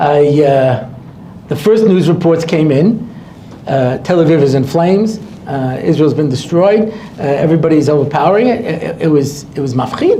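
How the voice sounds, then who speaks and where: A man's voice swings very widely in pitch, with noticeable background noise and audible room echo. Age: 60s. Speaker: rabbi. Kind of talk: lecture. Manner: animated.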